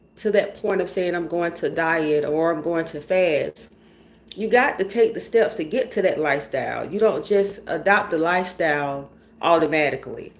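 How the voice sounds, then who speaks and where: A woman speaks with a Georgia accent in a fairly low pitch. Her pace is moderate and her pitch varies in an ordinary way. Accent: Georgia Southern. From US South, rural Georgia. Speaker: vlogger. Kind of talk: casual personal vlog monologue. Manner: animated, chatty.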